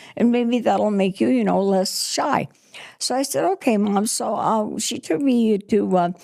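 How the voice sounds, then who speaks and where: An American accent marks this woman's speech, which has a medium pitch, lively intonation and a fairly slow pace, with noticeable background noise. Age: 80s+. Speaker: retired singer and performer. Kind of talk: podcast interview answer.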